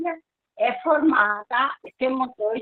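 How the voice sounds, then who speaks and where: High-pitched female speech with very wide pitch swings. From Rio Grande do Sul, Brazil. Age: 70s. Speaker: testimony guest, product user. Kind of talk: testimony.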